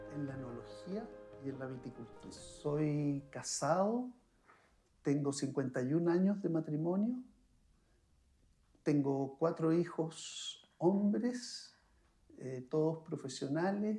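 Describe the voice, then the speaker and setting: A very slow pace with long, frequent pauses, a dark, mellow tone and lively intonation. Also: man, fairly high pitch for a man. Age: 70s. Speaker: winemaker. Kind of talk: interview.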